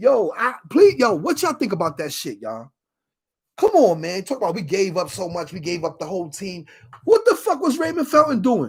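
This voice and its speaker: Animated and fairly quick, a man with a high voice speaks in a New York accent, with very wide pitch swings and big swings in loudness. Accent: Northeastern US, New York. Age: 40s. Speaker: sports streamer. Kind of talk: casual livestream chat. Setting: livestream.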